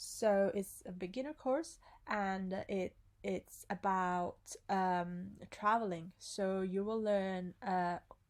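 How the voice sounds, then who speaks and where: Speaking very slowly with an Italian accent, a woman keeps a medium pitch and ordinary pitch variation. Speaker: language teacher. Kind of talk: tutorial. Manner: hesitant with fillers.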